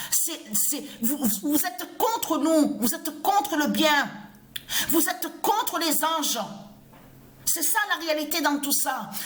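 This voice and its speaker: A woman's high-pitched, very slow speech with lively intonation and long, frequent pauses. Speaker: religious video blogger. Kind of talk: ranting monologue. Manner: halting, repetitive stammering.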